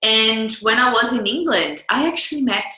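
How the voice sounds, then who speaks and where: A woman speaks with a Portuguese accent. Audible room echo surrounds her voice. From Brazil. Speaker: business coach. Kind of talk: online coaching talk. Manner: animated.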